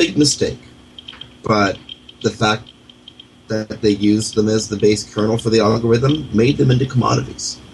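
Speaking at a moderate pace with long, frequent pauses, a man has a fairly low pitch, vocal fry and fairly even intonation. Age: 40s. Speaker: radio host. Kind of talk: internet radio talk show.

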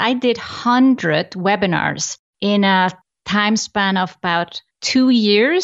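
Speaking with an Icelandic accent, a woman uses lively intonation. Her pitch is medium. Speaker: business coach. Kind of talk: interview.

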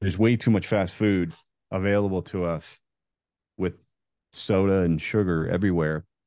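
A man with an American accent speaks at a moderate pace in a very deep, low pitch, his tone dark and mellow and his intonation fairly even. Long, frequent pauses break up his speech, with a quiet background behind it. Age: 40s. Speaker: entrepreneur and former football quarterback. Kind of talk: interview. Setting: video call.

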